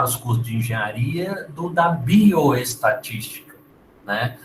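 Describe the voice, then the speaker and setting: This is a plain, everyday voice with ordinary pitch variation. The pace is fairly slow. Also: man. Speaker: university lecturer. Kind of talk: lecture.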